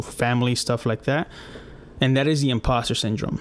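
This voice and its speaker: Medium pitch from a man, fairly quick in pace and fairly even in intonation. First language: not English. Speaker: podcast host, UX designer. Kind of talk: casual podcast monologue. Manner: casual, with many fillers.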